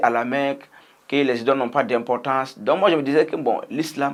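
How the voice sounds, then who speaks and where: Speaking at a moderate pace, a man with a Burkinabe accent uses a medium pitch. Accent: Burkinabè French. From Burkina Faso. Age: young. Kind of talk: personal testimony, interview answer.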